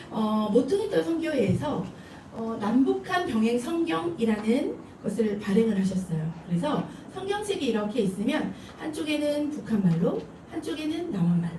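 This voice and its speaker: With a Seoul accent, a woman speaks at a fairly slow pace in a fairly high pitch with very wide pitch swings, amid noticeable background noise and audible room echo. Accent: Seoul speech. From Seoul, South Korea. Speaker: preacher, ministry leader. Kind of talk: sermon.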